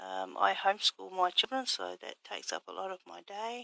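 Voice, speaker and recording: Soft-spoken and fairly slow, a woman talks in a dry, close sound with no echo. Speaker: craft vlogger. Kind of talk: casual vlog. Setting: home workshop at night. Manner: hesitant, many fillers.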